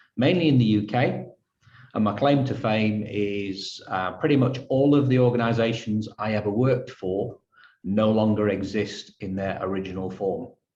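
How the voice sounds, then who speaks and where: A man with a Yorkshire accent speaks at a moderate pace with ordinary pitch variation. His fairly low voice carries a dark, mellow tone. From northern England, Halifax, Yorkshire. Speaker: photographer. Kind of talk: interview.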